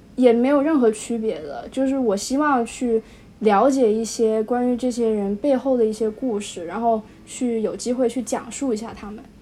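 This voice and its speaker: Here a woman talks at a moderate pace with ordinary pitch variation. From Wuhan, China. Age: young. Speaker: high school graduate. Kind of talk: casual interview. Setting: remote call. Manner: hesitant, many fillers.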